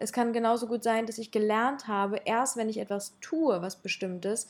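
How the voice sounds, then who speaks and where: A woman speaks with a fairly high pitch. Her pitch varies in an ordinary way. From Ukraine. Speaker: public speaker and podcaster. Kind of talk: casual interview.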